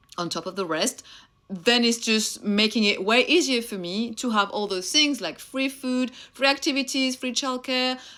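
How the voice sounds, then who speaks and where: A woman with a French accent, fairly high-pitched, animated and lively in intonation, at a moderate pace. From France (Réunion). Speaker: mentor and content creator. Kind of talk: motivational talk to camera.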